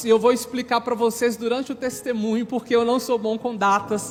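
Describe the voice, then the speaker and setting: With music playing in the background, a man talks at a moderate pace in an extremely high pitch. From Brazil, Minas Gerais (Sete Lagoas). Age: 30s. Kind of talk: religious testimony to an audience.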